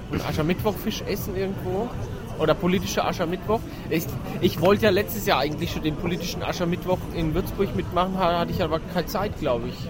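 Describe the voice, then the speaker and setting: Against noticeable background noise, a high-pitched man talks at a very fast pace with fairly even intonation. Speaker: podcast co-host. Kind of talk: casual chat. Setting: outdoors at a Christmas market.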